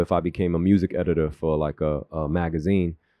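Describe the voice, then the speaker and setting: Fairly quick and with fairly even intonation, the speech comes in a New York accent. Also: man. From Queens, New York (born South Korea). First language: Korean. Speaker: filmmaker and creative. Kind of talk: casual interview chat. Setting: radio studio. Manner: laid-back, slangy.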